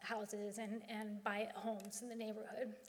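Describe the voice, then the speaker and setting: Around this woman's voice, room echo is audible. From Philadelphia area. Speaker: author. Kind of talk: lecture. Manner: hesitant with fillers.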